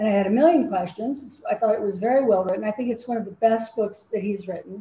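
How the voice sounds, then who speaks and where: Here a woman with a General American accent talks at a very fast pace. Her voice is somewhat breathy, with a fairly high pitch and ordinary pitch variation. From Colorado, Denver. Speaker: true crime writer. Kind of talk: interview.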